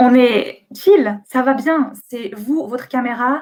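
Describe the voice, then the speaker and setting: Ordinary pitch variation in a woman's fairly high voice. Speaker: booktuber and bookseller giving a talk. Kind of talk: online conference presentation. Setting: live webcam stream from home. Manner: hesitant with many euh.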